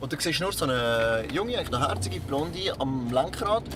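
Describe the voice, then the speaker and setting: Over noticeable background noise, a man with a Swiss accent talks at a fairly quick pace, his pitch swinging very widely. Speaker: podcast co-host. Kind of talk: casual chat, telling an anecdote.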